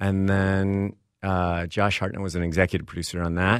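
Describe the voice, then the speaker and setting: A man speaks with an American accent in a normal speaking voice, pitched fairly low. His pace is fairly quick, and the recording is very clean with a silent background. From Texas. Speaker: screenwriter and columnist. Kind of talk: interview.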